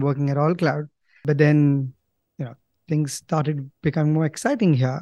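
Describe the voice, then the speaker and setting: A man with an Indian accent and a dark, mellow tone speaks at a moderate pace with a fairly high pitch, the sound dry and close with no echo against a quiet background. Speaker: company co-founder. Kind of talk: casual interview. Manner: hesitant, filler words.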